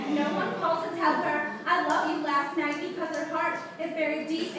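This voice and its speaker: Noticeable background noise accompanies a woman speaking at a moderate pace. Her tone is intense and her pitch extremely high. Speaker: slam poet. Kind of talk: slam poetry performance. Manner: intense, emotional.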